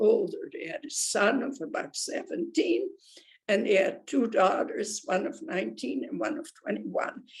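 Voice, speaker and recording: Speaking at a fairly slow pace, a woman moves through very wide pitch swings. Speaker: Holocaust survivor. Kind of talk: testimony talk to students.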